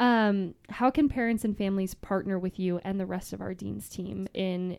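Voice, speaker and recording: Her tone dark and mellow, a woman speaks at medium pitch with ordinary pitch variation. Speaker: podcast host. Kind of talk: casual chat. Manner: fast talker.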